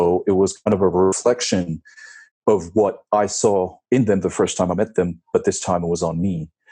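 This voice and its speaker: With an American accent, a man speaks fairly slowly at a very deep, low pitch. His tone is dark and mellow. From France and Japan, partly US as a child. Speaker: 3D animator. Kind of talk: casual interview. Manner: hesitant, many fillers.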